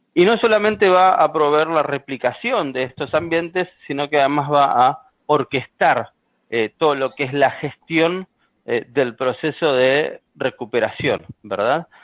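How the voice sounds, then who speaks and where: Speaking fairly slowly with lively intonation, a man with a strong Argentine accent uses a fairly high pitch. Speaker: software sales engineer. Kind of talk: webinar presentation. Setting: online webinar. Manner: frequent filler hesitations.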